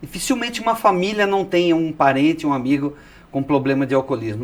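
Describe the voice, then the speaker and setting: A man talks with a fairly high pitch and a lively, moving intonation. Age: 60s. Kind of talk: testimony. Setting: TV studio, in person. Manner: energetic.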